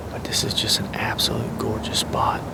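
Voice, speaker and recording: Whispering comes through with noticeable background noise and audible room echo. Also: man. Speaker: bowhunter. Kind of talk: in-field hunting commentary. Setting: outdoors in a tree stand.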